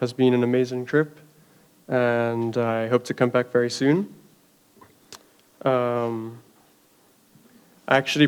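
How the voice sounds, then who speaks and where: Medium pitch and a moderate pace from a male speaker. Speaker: artist giving a talk. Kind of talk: artist talk.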